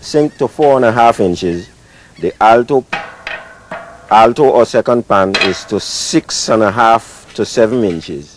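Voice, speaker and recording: A man with a medium-pitched voice speaks at a fairly slow pace, his intonation lively. Noticeable background noise runs underneath. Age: 60s. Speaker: steel pan maker. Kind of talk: interview explanation.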